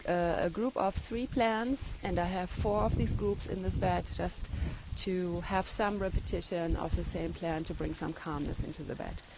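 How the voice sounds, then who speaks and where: A woman with a German accent speaks over noticeable background noise. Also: moderate pace. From Germany. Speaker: garden blogger. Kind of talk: live garden tour broadcast. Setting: outdoors in garden, phone livestream. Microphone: iPhone 6 recording.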